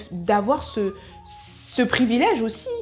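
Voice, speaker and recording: A woman's fairly high voice over music in the background. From Soninké, Mauritanian family. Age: 20s. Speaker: natural wellness vlogger. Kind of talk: casual talk to camera.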